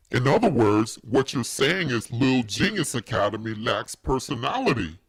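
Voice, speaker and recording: Using a cartoonish character voice, a man talks at medium pitch and a moderate pace. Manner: warm, encouraging.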